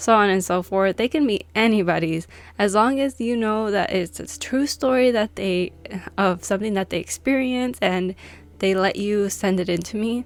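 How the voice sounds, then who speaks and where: Amid noticeable background noise, a woman with a non-native accent speaks at a moderate pace and medium pitch with ordinary variation. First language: not English. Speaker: YouTuber reading subscriber stories. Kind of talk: casual vlog chat. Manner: animated.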